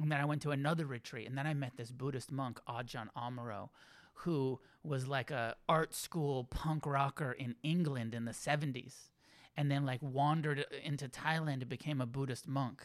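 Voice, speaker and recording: In a very clean recording with a silent background, a man with an American accent has a plain, everyday voice. His pitch is fairly high, his intonation fairly even, and his pace moderate. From California, Santa Cruz. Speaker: Buddhist teacher and author. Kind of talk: casual interview.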